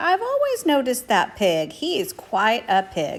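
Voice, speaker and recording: A female-sounding, put-on character voice, high in pitch for a woman, at a moderate pace. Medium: read story. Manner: agreeable, low-key.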